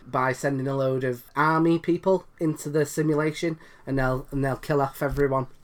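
The speaker talks at a moderate pace in a British accent with monotone, flat intonation. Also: man. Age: 30s. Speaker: comedian. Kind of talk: casual chat.

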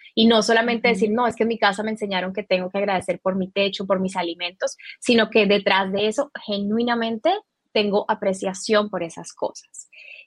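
A woman with a normal speaking voice talks at a fairly quick pace, her medium pitch following fairly even intonation. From Colombia. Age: 30s. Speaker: spiritual teacher. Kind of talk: interview.

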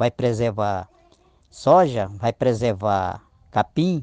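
The voice has a dark, mellow tone and lively intonation. It sounds dry and close, with no echo. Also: man. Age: 50s. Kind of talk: interview. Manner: halting.

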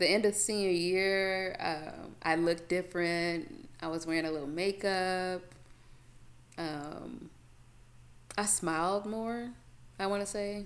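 A woman speaks at a fairly slow pace and a medium pitch, with ordinary pitch variation and long, frequent pauses. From Chicago, South Side. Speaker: podcast host. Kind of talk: casual solo monologue.

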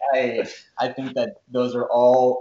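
This man speaks with an American accent in a normal speaking voice. His pitch is medium, with ordinary variation. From US Northeast (Rhode Island / Massachusetts border). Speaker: professional runner. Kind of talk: casual chat.

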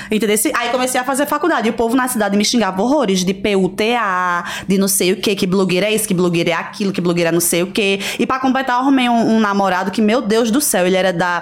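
With a Pernambuco accent, a woman speaks at medium pitch with hardly any pauses. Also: ordinary pitch variation, very even loudness. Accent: drawling Pernambuco. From Pernambuco, Brazil (Recife, raised in Garanhuns). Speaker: influencer and reality show contestant. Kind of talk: casual interview chat.

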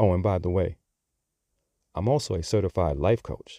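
A very deep, low-pitched man's voice in an American accent, dark and mellow in tone, with ordinary pitch variation, a very clean recording with a silent background, and a dry, close sound with no echo. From Bronx, New York. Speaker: podcast host. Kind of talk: scripted-style podcast monologue.

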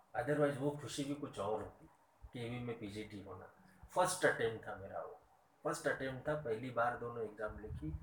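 With audible room echo and noticeable background noise, a man talks at a moderate pace and medium pitch, his intonation lively and his loudness swinging widely. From Maharashtra, India. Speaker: teacher. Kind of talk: interview.

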